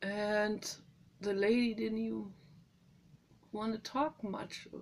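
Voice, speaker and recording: Speaking very slowly in a German accent, a woman uses a medium pitch. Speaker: animal welfare vlogger. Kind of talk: personal vlog monologue. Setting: greenhouse. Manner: emotional, halting.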